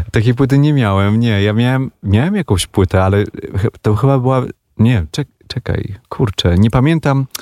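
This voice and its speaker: At a moderate pace, a man speaks in a dark, mellow tone with ordinary pitch variation and a dry, close sound with no echo. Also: medium pitch for a man. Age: 40s. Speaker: musician. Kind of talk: radio interview. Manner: halting.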